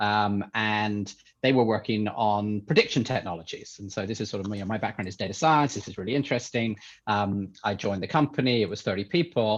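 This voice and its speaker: Fairly low-pitched man with an English accent, speaking at a fairly quick pace with ordinary pitch variation over a quiet background. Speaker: tech entrepreneur, company CEO. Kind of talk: podcast interview. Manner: hesitant, many fillers.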